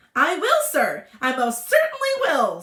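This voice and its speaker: Pitched extremely high, the squeaky voice is a put-on character. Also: fairly slow pace. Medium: read story. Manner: greasy, fawning.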